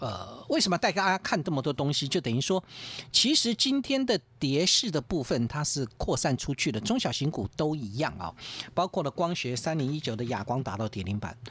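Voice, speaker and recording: A man talks fairly quickly with vocal fry and very wide pitch swings, in a dry sound with no echo. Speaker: stock market analyst. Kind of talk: radio market commentary. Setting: radio studio. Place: studio.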